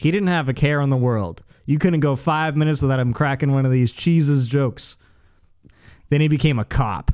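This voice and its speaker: With a plain, everyday voice, a man speaks at a fairly quick pace, his loudness very even and his pitch varying in an ordinary way. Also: fairly high pitch for a man. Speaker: podcast guest. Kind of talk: casual chat.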